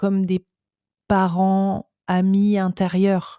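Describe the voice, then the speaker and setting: A woman speaks at medium pitch in a dark, mellow, flat monotone. The recording is very clean and dry, close-miked with no echo and a silent background. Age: 40s. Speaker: personal development youtuber. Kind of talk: casual interview chat. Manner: halting, many repetitions.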